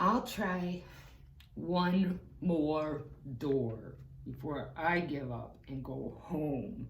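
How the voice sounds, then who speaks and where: Using a put-on character voice at a fairly high pitch, a man speaks at a very slow pace with long, frequent pauses over clear background noise. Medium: read story. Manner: timid, stammering.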